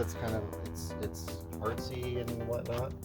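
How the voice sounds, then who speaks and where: Music plays in the background as a man speaks. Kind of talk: casual talk to camera.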